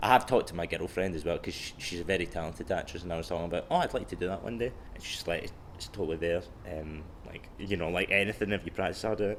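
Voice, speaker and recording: Speaking very fast in a Glaswegian accent, a man uses a very deep, low pitch and fairly even intonation. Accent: Glaswegian Scottish. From Scotland, Clydebank near Glasgow. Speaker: comedian. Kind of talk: casual chat. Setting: library. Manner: halting, many fillers.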